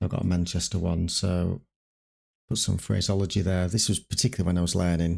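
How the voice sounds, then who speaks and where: Speaking at a fairly quick pace in a northern English accent, a man with a very deep, low pitch keeps his intonation fairly even and his loudness very even, in a very clean recording with a silent background. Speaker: streamer playing an air traffic controller. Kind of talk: simulated ATC radio calls mixed with casual stream chat. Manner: radio phraseology, crisp and formal on frequency.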